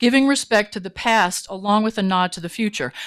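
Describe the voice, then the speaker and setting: An unremarkable speaking voice with an American accent moves at a fairly quick pace with lively intonation, in a very clean recording with a silent background. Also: woman. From Virginia. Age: 60s. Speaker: retired teacher giving public comment. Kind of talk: public comment at a meeting. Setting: county commission meeting.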